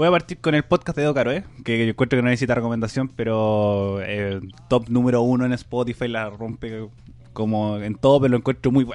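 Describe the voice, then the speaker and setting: With a Chilean accent, a man at a medium pitch talks at a fairly quick pace with ordinary pitch variation. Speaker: podcast host. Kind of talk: casual chat.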